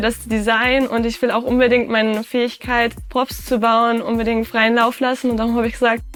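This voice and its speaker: A woman's high voice is heard while music plays in the background. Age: 20s. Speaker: cosplayer. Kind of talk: interview monologue.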